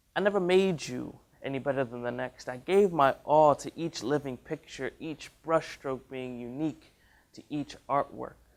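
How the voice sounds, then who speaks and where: This man has a plain, everyday voice pitched fairly high. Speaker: college student spoken word artist. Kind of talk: spoken word poetry performance.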